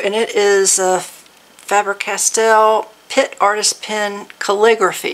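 There is noticeable background noise. Over it, a woman speaks at a medium pitch. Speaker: crafting YouTuber. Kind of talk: casual unboxing and craft tutorial. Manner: animated, excited exclamations.

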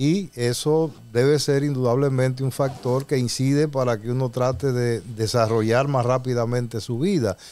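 At a moderate pace, a man with a medium pitch and a dark, mellow tone speaks with ordinary pitch variation. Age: 60s. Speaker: radio show host. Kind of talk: radio talk show discussion. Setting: radio studio.

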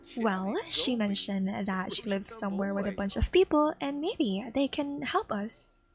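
With lively intonation and a fairly high pitch, a woman talks at a moderate pace amid noticeable background noise. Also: hardly any pauses. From Philippines. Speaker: gaming YouTuber. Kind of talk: let's play narration. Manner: animated.

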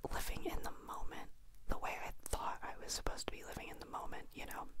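A soft-spoken woman whispering at a very fast pace over loud background noise. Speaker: vlogger. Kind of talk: casual vlog chat. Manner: soft close-mic whisper. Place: home room. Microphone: handheld.

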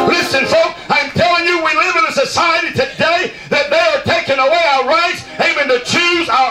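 A man speaks at a moderate pace with hardly any pauses, his pitch extremely high and his intonation ordinary in its variation, while clear music plays behind him and the room echo is audible. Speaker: preacher. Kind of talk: revival sermon. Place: tent.

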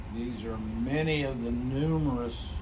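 Loud background noise behind a male speaker. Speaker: oil producer. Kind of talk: infomercial pitch. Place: office. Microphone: camera far.

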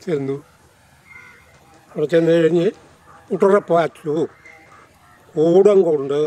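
The sound is dry, with no echo. A man speaks at a high pitch. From Kerala, India. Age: 80s+. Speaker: freedom fighter, war veteran. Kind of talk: interview answer. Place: garden.

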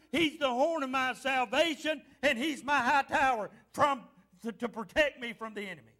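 A man uses an animated, playful tone and a raised, projected voice with an extremely high pitch and a bright, sharp quality. He keeps a moderate pace with big swings in loudness against a quiet background. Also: ordinary pitch variation. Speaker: pastor. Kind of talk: fervent revival-style sermon with call-and-response to the congregation. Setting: church. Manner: exhorting and animated, punctuating lines with repeated amens; playful teasing of the congregation to draw responses. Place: church.

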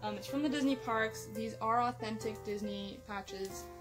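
Clear music plays in the background while a woman talks at a moderate pace. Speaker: vlogger. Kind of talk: casual unboxing haul chat. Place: home room.

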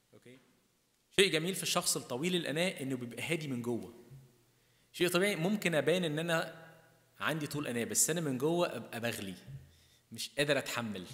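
With an Egyptian accent, a fairly high-pitched man talks at a fairly quick pace, his intonation lively and his loudness swinging widely. He takes long, frequent pauses against a quiet background. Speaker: priest. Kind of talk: sermon. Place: church. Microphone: podium.

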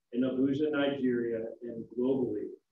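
Audible room echo follows the man as he talks.

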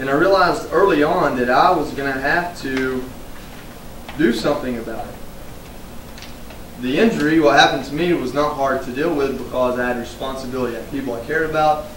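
With an American accent, a man speaks at a fairly quick pace, with ordinary pitch variation, big swings in loudness and long, frequent pauses. Audible room echo and light background noise fill the recording. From United States. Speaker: retired Marine and veterans advocate, public speaker. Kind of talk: live keynote speech to an audience. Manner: casual, conversational, humorous. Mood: earnest, reflective. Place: hall. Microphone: podium.

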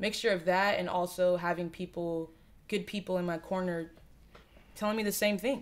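A woman with an American accent, fairly quick in pace, with fairly even intonation. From Southwest Florida, Lehigh Acres; Florida. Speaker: rap artist; interview guest. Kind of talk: casual interview chat. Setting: living room. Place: home room. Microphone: studio mic.

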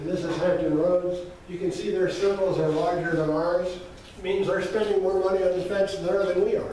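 Amid strong room echo and light background noise, a man speaks at a moderate pace in a high voice with monotone, flat intonation. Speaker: presenter. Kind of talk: lecture. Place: hall. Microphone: camera far.

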